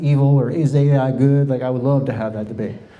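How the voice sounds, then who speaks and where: A man with an American accent talks at a fairly quick pace. Audible room echo surrounds his voice. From US South, Miami, Florida. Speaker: presenter. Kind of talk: presentation. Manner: fast.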